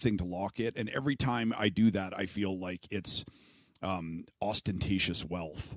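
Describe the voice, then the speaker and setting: A man's very deep, low voice, fairly slow, with ordinary pitch variation and a dry, close sound with no echo. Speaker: podcast host. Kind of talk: casual interview conversation.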